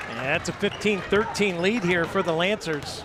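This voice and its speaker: Noticeable background noise is present throughout. The talking goes at a fairly slow pace. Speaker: sports commentator. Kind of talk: live commentary.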